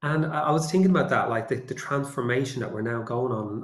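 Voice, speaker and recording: A man with a Dublin accent, somewhat breathy and fairly quick, with ordinary pitch variation and audible room echo. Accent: Dublin Irish. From Ireland, suburbs of Dublin. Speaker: AI and communications consultant. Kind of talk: webinar presentation.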